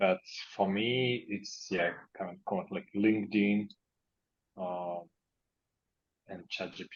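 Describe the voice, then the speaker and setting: Speaking with a non-native accent, a man talks at a fairly slow pace with fairly even intonation and a fairly low pitch. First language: not English. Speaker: startup founder. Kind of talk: online group discussion.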